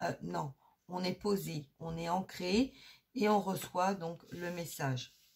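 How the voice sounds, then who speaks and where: A woman speaks at a very slow pace in a fairly low pitch with vocal fry. Her pitch variation is ordinary. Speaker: energy healer and medium. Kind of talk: spiritual guidance talk. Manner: hesitant, many filler sounds; soft-spoken during healing.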